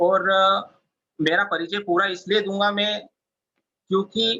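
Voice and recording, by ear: A man speaks at a fairly slow pace in a high pitch. His tone is bright and sharp, and his intonation stays fairly even.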